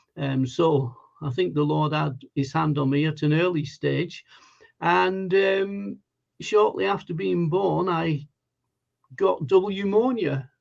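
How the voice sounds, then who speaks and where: A man speaks very slowly in a Lancashire accent. His voice is fairly high-pitched, with lively intonation. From northern England, Lancashire (Wigan). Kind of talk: testimony. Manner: hesitant, many fillers.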